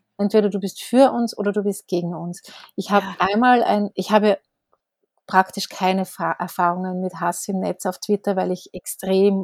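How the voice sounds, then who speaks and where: With a plain, everyday voice, a woman speaks at medium pitch and a moderate pace with fairly even intonation, in a dry, close sound with no echo and a very clean recording with a silent background. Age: 40s. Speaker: newspaper editor and author. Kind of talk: casual interview conversation.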